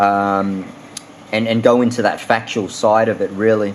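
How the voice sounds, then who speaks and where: Against noticeable background noise, a man with an Australian accent speaks fairly slowly at a medium pitch with monotone, flat intonation. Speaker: fishing lure reviewer. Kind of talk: product review. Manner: many filler words, hesitant.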